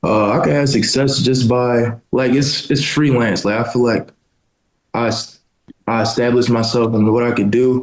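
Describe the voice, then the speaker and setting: At a moderate pace, a normal speaking voice talks with fairly even intonation. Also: man, medium pitch for a man. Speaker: college basketball player. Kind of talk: casual interview.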